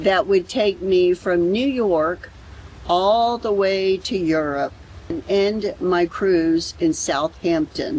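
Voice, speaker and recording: Speaking very slowly, a woman has an American accent. Her pitch is medium, with ordinary pitch variation. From Florida. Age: 60s. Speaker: travel vlogger. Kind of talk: vlog narration.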